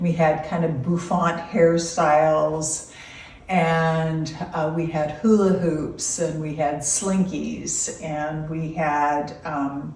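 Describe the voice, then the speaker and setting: With an American accent and a very deep, low pitch, a woman speaks at a very slow pace in a monotone, flat intonation, with audible room echo and noticeable background noise. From California (Loomis). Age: 60s. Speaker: grandmother being interviewed. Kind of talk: casual interview. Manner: hesitant with fillers.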